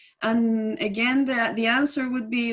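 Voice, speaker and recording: Her pace is very slow. The woman has a high pitch and a Spanish accent. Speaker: environmental advocate. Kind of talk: webinar Q&A answer. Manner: halting, many fillers and restarts.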